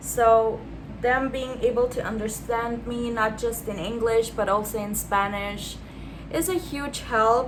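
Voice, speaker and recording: The speech comes at a fairly slow pace with fairly even intonation, amid noticeable background noise and audible room echo. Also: woman. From Austria. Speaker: beauty vlogger. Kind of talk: casual chat while doing makeup.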